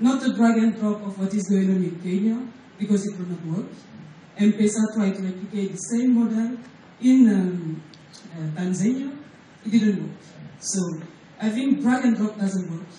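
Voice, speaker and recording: A woman with a medium pitch and ordinary pitch variation speaks at a moderate pace with long, frequent pauses. Noticeable background noise and audible room echo fill the recording. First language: not English. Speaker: payments company executive. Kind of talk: conference presentation. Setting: stage at a hotel breakfast forum. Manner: hesitant, many fillers.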